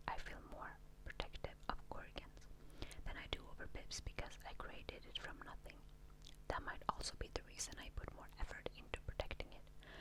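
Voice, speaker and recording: A woman whispers in a gentle tone. Her pace is moderate. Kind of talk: ASMR book reading. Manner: whispered, gentle.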